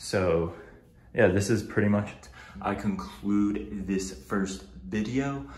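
A fairly low-pitched man speaks very slowly with vocal fry and ordinary pitch variation. Room echo is audible. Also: big swings in loudness. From New Jersey. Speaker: vlogger and research assistant; first-time vlogger. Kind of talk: casual vlog; casual vlog chat. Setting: at home, apartment tour. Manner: casual, frequent filler words. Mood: friendly, a bit self-conscious. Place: home room. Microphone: phone near.

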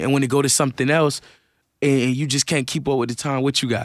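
Against a quiet background, a man speaks at a fairly quick pace, the sound dry with no echo. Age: 20s. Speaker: rapper. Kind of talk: casual interview. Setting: radio studio. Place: studio. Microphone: studio mic.

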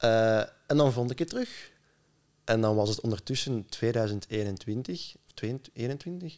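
A man with a Flemish accent speaks at a very slow pace with ordinary pitch variation over a quiet background. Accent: Flemish Dutch. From Belgium, Flanders (Leuven area); Flanders, Belgium. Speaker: musician; podcast guest. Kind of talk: casual chat. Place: home room. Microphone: studio mic.

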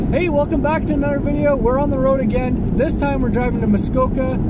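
Loud background noise surrounds a man talking at a very fast pace, in a dry sound with no echo. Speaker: travel vlogger. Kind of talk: casual vlog chat. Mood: upbeat, excited. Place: car.

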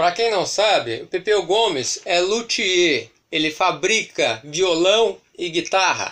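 A high-pitched man's voice with lively intonation at a very slow pace, over a quiet background. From Brazil. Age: 40s. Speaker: YouTuber record collector. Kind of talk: collection show-and-tell. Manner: halting, repetitive. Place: home room. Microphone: phone near.

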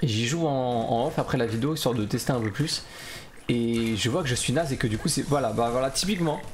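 A man at a fairly quick pace, with very even loudness, ordinary pitch variation and faint music in the background. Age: 40s. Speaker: gaming YouTuber; gaming streamer. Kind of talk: gameplay commentary; casual gameplay commentary. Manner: casual, hesitant with fillers. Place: home room.

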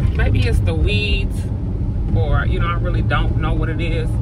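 A woman's voice sounds dry with no echo, over loud background noise. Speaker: vlogger. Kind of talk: casual vlog chat. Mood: animated, chatty. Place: car. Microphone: phone near.

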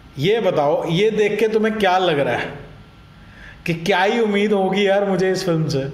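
A high-pitched man's animated voice at a moderate pace, with ordinary pitch variation, very even loudness, long, frequent pauses and audible room echo. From Ludhiana, Punjab, India; Punjab, India. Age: 30s. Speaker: YouTube reaction vlogger. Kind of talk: casual YouTube reaction commentary. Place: home room. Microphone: webcam.

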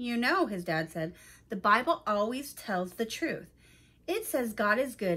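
Here the delivery is plain reading aloud.

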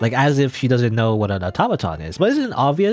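What we hear is plain reading aloud.

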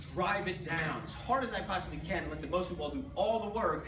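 Noticeable noise sits behind a man whose moderately paced speech shows ordinary pitch variation. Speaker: fitness coach. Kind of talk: tutorial. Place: gym.

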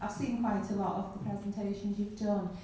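A woman is speaking. Her voice carries a strong room echo. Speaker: audience member. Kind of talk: audience question. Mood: concerned, earnest. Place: hall.

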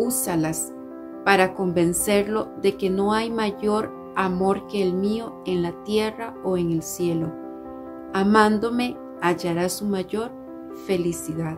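Clear music plays in the background as a woman talks at a very slow pace. Her pitch is medium, with ordinary variation. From Costa Rica. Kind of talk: religious devotional talk. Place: home room. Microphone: phone near.

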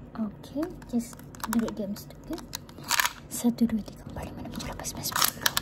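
A woman whispers, soft-spoken. Loud background noise fills the clip. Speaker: ASMR creator. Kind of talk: ASMR roleplay, whispered counting. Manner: whispered, soft. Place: home room.

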